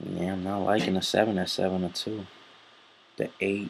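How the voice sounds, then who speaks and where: Fairly quick in pace, a man talks in a very deep, low pitch with fairly even intonation. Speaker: horse racing handicapper. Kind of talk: handicapping tutorial. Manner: soft-spoken; halting, many fillers.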